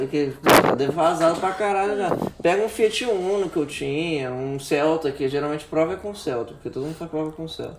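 A man is talking at a fairly high pitch. Noticeable background noise runs behind him. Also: ordinary pitch variation, moderate pace. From Rio de Janeiro, Brazil. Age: 20s. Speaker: podcast co-host. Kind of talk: casual chat.

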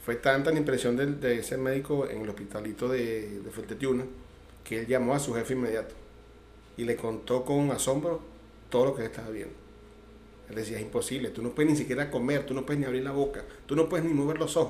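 Very fast speech in a Caracas accent, fairly even intonation, long and frequent pauses, and audible room echo. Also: man. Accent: Venezuelan Spanish (Caracas). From Venezuela, Caracas. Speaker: churchgoer giving testimony. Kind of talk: testimony. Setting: radio studio.

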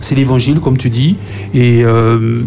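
A man's voice shows ordinary pitch variation amid noticeable background noise and audible room echo. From Martinique, Fort-de-France. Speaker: youth panelist. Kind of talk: radio panel discussion.

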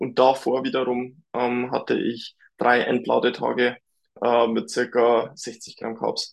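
A man's very slow, monotone speech with flat intonation at a medium pitch. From Lower Bavaria, Germany. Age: 20s. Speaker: bodybuilder. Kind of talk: casual chat.

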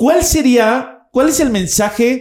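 A man speaks with a Mexican accent and lively intonation, captured in a very clean recording with a silent background. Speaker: podcast host and spiritual teacher. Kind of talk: interview conversation. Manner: casual, slangy.

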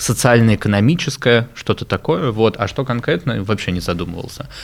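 A man talks at a moderate pace and medium pitch in a plain, everyday voice. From Moscow, Russia. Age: 20s. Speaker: education entrepreneur. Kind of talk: interview.

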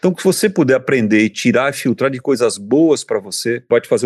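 The sound of this man's medium-pitched voice is dry and close, with no echo. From Brazil, São Paulo. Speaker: airline captain. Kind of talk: casual interview chat.

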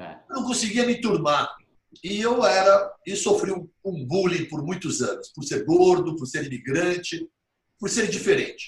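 In a high pitch, a man speaks with lively intonation. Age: 50s. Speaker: physician. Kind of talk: interview. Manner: animated.

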